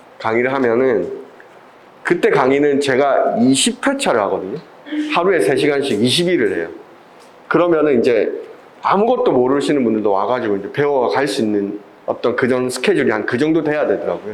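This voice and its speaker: A man with a Busan accent at a fairly quick pace, with long, frequent pauses, audible room echo and noticeable background noise. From Busan, South Korea. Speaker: video production instructor. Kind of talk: lecture.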